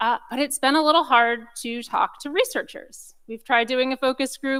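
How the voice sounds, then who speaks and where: The recording is very clean, with a silent background. The voice is loud, and its pitch varies in an ordinary way. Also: woman. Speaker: research data program speaker. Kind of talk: conference talk. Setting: conference room with audience, recorded.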